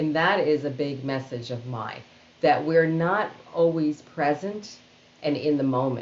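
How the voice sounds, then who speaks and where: Her voice is very deep and low for a woman, with ordinary pitch variation. She talks at a fairly slow pace. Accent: New York. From Queens, New York City. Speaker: organizational storyteller and keynote speaker. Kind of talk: interview answer.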